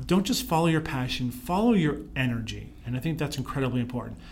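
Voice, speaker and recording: A man with an ordinary speaking voice, fairly high pitch, ordinary pitch variation and an American accent, at a fairly quick pace. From Pittsburgh, Pennsylvania, US. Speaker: leadership consultant and speaker. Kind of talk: interview.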